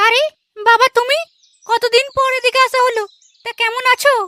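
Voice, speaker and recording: A woman puts on a cartoonish character voice, extremely high in pitch, at a moderate pace. Her intonation is monotone and flat, and the sound is dry and close with no echo. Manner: warm but nagging.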